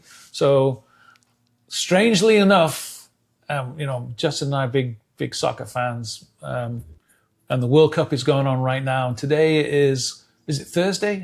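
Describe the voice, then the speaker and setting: A man with an English accent speaks fairly slowly in a fairly high, somewhat breathy voice with ordinary pitch variation. He leaves long, frequent pauses, and the recording is very clean with a silent background. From northern England, Leeds. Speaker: real estate team leader. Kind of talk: casual chat.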